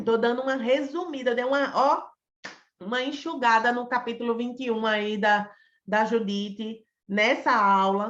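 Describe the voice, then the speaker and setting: A woman's normal speaking voice, fairly high in pitch, with fairly even intonation and a moderate pace. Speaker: psychologist teaching a class. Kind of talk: online lecture.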